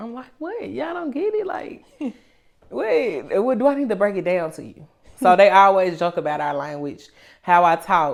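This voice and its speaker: A woman with a Memphis accent speaks at a moderate pace in a medium pitch. Her voice makes very wide pitch swings and big swings in loudness. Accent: Memphis Southern, country. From Memphis, Tennessee. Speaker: rapper. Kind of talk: interview. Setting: studio.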